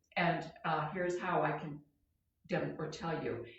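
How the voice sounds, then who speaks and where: A woman with a fairly low voice is heard with audible room echo. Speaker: comedian hosting a live show. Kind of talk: casual live-stream monologue. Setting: live stream. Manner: halting, self-correcting.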